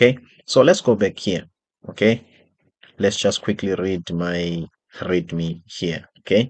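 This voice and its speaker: Speaking with a South African accent, a man with a very deep, low pitch talks at a very slow pace with long, frequent pauses over a quiet background. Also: ordinary pitch variation. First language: isiXhosa. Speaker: software developer and designer. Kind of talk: tutorial.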